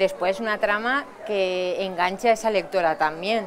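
Over crowd noise in the background, a woman talks at a moderate pace. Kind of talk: interview answer. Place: hall.

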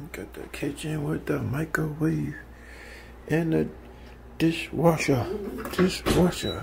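Noticeable background noise runs under speech delivered at a very slow pace. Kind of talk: casual vlog chat. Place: home room. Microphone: phone near.

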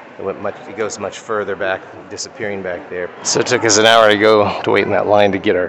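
A man with an American accent talks at a fairly quick pace and a fairly low pitch. His intonation is fairly even, with noticeable background noise behind him. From US Midwest, Kansas. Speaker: travel vlogger. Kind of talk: travel vlog narration. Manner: casual, conversational.

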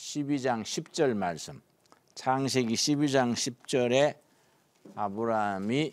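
The man's pitch varies in an ordinary way as he talks very slowly. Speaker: pastor teaching Bible class. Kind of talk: lecture. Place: studio.

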